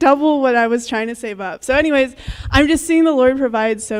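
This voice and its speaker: Ordinary pitch variation runs through a woman's speech. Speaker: youth speaker. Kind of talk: testimony. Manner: fast; casual, filler-heavy.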